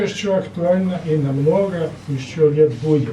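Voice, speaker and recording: There's audible room echo and noticeable background noise. A man speaks with a strong Serbian accent. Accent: strong Serbian accent in Russian. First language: Serbian (speaking Russian). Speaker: poetry evening participant. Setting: cafe stage with audience.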